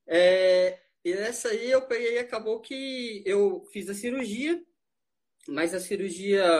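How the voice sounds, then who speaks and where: This man speaks with a high pitch. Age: 50s. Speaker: amateur runner. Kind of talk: casual interview chat. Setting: online live stream.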